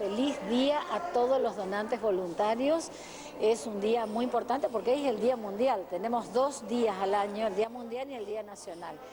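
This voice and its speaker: Noticeable background noise sits behind a woman with a fairly high pitch. She talks at a moderate pace with ordinary pitch variation. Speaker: blood bank official. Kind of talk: news interview.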